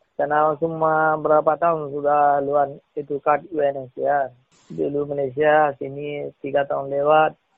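This man speaks at a fairly high pitch with monotone, flat intonation. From Rohingya, Myanmar. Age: 40s. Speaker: refugee. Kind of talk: interview. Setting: phone call. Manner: halting.

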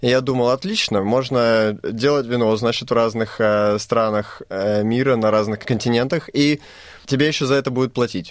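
A man's medium-pitched voice at a moderate pace, with fairly even intonation and very even loudness. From Moldova. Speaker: winemaker. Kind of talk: interview. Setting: studio. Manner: halting.

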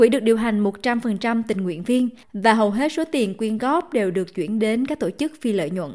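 On a very clean recording with a silent background, a woman with a normal speaking voice talks at a moderate pace and fairly high pitch, using lively intonation and hardly any pauses. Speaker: podcast narrator. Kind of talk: documentary narration.

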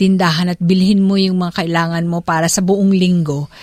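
On a very clean recording with a silent background and a dry, close sound with no echo, a woman with an unremarkable speaking voice speaks at a moderate pace and medium pitch. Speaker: radio host. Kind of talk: interview.

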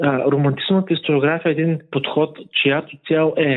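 With a plain, everyday voice, this man speaks at a fairly high pitch and a moderate pace, his intonation fairly even. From Bulgaria, Burgas. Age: 20s. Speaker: history teacher. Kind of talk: interview.

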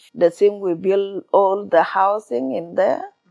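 A woman of medium pitch with a South Sudanese accent. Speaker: refugee storyteller. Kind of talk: interview. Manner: halting, simple English.

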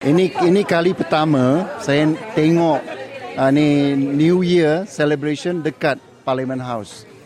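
Crowd noise fills the background as a man talks very slowly at a fairly high pitch with ordinary variation. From Malaysia, Muar, Johor. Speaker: politician. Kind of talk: interview. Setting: outdoors at an event. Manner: halting, with fillers.

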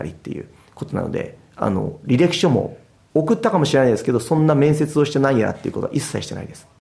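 A man's very fast speech, dark and mellow in tone, with vocal fry. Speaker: football goalkeeper coach. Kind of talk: interview.

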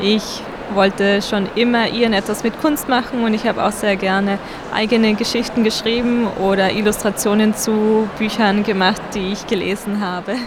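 Over noticeable background noise, a woman speaks in a monotone with flat intonation. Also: fairly high pitch for a woman, moderate pace. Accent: slight Tyrolean. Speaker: children's book illustrator. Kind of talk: interview.

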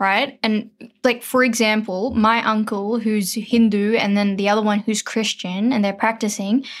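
In an Australian accent, a woman with a fairly high pitch speaks at a moderate pace on a very clean recording with a silent background. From Sydney, Australia (Parramatta). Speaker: writer. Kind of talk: casual chat.

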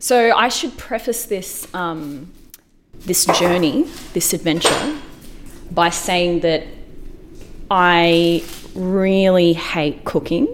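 A woman with an Australian accent, fairly low in pitch, at a very slow pace with long, frequent pauses and lively intonation, over noticeable background noise. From Australia, Melbourne. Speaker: podcast producer. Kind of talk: narration and casual cooking chat.

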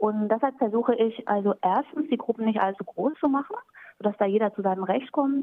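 In a plain, everyday voice, a woman talks at a fairly quick pace, her fairly high pitch showing ordinary variation. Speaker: German teacher. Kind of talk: interview.

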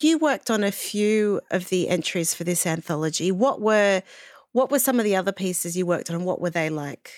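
A woman with an Australian accent talks at a fairly quick pace in a medium pitch with lively intonation. The sound is dry and close with no echo, on a very clean recording with a silent background. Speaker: podcast host and editor. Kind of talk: interview.

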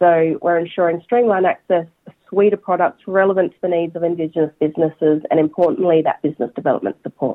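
The speech comes at a very fast pace in an Australian accent. Pitch moves in an ordinary way. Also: woman, fairly low pitch for a woman. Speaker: bank executive. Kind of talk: interview.

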